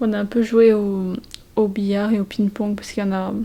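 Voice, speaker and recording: Noticeable background noise sits behind a woman of medium pitch. She speaks at a fairly quick pace in a monotone, flat intonation. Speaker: vlogger. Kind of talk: casual vlog talk to camera. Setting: holiday rental at night. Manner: hesitant, many fillers; whispering.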